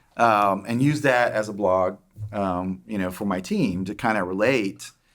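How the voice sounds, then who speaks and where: In an Oklahoma accent, a man speaks at a fairly low pitch and moderate pace with ordinary pitch variation. The recording is very clean, with a silent background. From Oklahoma, small town. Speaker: tech executive. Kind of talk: interview. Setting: podcast. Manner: halting, many fillers.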